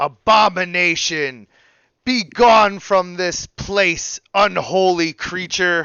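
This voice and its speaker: A put-on character voice from a man, very slow in pace and high in pitch. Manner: commanding, hostile, dramatic.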